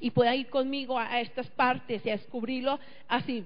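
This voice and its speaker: High female voice, its intonation staying mostly level. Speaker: pastor. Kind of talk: sermon.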